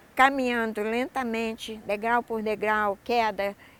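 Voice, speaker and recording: A woman speaks at a fairly slow pace. She has an ordinary speaking voice. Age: 60s. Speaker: adult education graduate, university student. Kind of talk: interview testimony.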